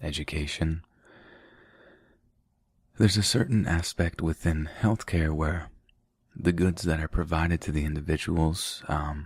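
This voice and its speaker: A man speaks with a very deep, low pitch, a soothing tone, a somewhat breathy quality, and fairly even intonation. His pace is fairly slow with long, frequent pauses, and the recording is very clean with a silent background. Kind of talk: ASMR sleep reading, casual commentary. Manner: soft-spoken, soothing.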